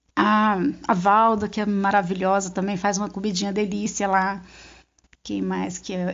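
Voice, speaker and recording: A woman speaks in a medium pitch at a moderate pace, her intonation monotone and flat. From Brazil, northern interior of Goiás. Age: 50s. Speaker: handywoman. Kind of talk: interview.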